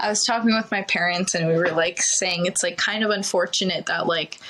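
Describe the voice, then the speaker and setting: A woman's voice over noticeable background noise. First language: Ukrainian. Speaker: TV news producer. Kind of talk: casual chat. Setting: podcast.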